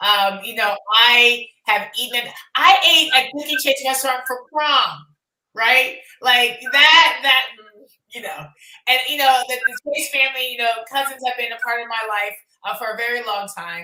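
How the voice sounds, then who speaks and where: With a high pitch and lively intonation, a woman talks at a moderate pace, her loudness swinging widely. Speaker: documentary producer and event host. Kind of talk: panel discussion at screening event. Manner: halting, many fillers.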